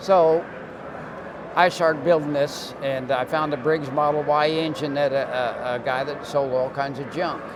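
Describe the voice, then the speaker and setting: Amid noticeable background noise and audible room echo, a man speaks at a moderate pace in a fairly high pitch with fairly even intonation. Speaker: retired land speed racer. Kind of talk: interview. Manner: halting.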